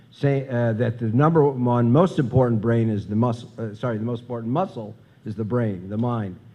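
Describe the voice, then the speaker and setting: A man with an American accent, medium pitch, a dark, mellow tone and ordinary pitch variation at a fairly quick pace, with audible room echo. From US Midwest, Chicago. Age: 60s. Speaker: professor, conference speaker. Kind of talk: conference talk. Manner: halting, many fillers.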